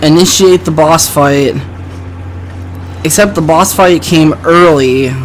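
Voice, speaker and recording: Over noticeable background noise, the words arrive very slowly. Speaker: let's play commentator. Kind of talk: gameplay commentary. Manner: halting.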